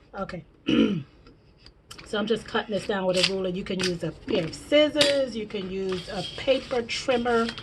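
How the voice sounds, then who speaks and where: Against noticeable background noise, a woman talks at a moderate pace with long, frequent pauses. Her pitch sits fairly high and varies in an ordinary way. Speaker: crafting YouTuber. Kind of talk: tutorial.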